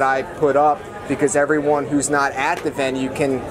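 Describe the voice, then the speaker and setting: Noticeable background noise sits under speech that goes along at a moderate pace. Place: street. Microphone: camera far.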